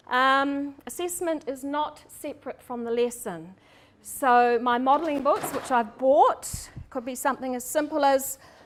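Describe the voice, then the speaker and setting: High female voice with a New Zealand accent, moderate pace and ordinary pitch variation. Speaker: primary school teacher. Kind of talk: seminar presentation. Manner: hesitant, many ums.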